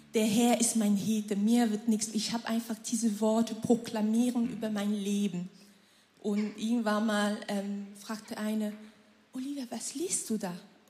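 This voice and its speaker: Over noticeable background noise, a woman speaks at a fairly slow pace in a monotone, flat intonation with a fairly high pitch. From Cameroon. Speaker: churchgoer sharing testimony. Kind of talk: testimony.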